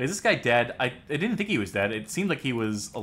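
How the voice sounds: What you hear is a natural reading voice.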